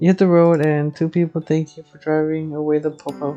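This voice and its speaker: Music in the background behind a woman with a very deep, low pitch, monotone, flat delivery and a moderate pace. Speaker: gamer streamer. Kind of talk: casual gameplay commentary.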